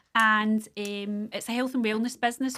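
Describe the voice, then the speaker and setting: On a very clean recording with a silent background, a woman speaks at a moderate pace in a Scottish accent. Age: 50s. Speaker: small business owner. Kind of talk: casual chat.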